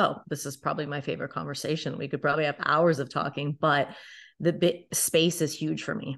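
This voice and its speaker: A woman talks at a fairly quick pace in a very deep, low voice with vocal fry. Her intonation is flat and monotone over a quiet background. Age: 30s. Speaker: life and business coach. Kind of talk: casual chat.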